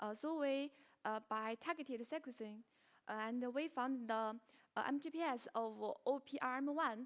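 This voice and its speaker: A woman with a Chinese accent speaks at a high pitch and moderate pace, with ordinary pitch variation. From China. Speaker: researcher presenting at conference. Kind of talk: conference Q&A. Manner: halting, many fillers.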